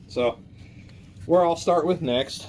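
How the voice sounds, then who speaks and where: A man's lively, varied intonation comes through above clearly audible background noise. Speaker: car mechanic YouTuber. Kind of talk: casual tutorial. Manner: fast.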